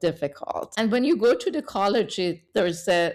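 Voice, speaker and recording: A woman in a Persian accent, medium-pitched, with lively intonation and a moderate pace. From Iran. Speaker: engineer and tech leader. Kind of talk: interview. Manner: halting.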